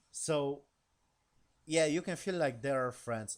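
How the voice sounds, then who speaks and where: Mumbling at a moderate pace, a man with a non-native accent uses lively intonation. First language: not English. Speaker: YouTuber reviewing TV episodes. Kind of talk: casual episode recap. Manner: halting.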